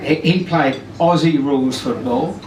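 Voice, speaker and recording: Over noticeable background noise and audible room echo, a man speaks very slowly at a fairly high pitch. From Tasmania, Australia. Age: 60s. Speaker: wedding guest, groom's uncle. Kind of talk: wedding speech. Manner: hesitant, many fillers and repeats.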